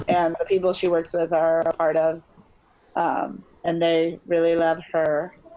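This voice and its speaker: Against noticeable background noise, a woman with an American accent talks fairly slowly in a fairly low, monotone, flat voice. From Chicago. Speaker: actor and model, cosplayer. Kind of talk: casual chat.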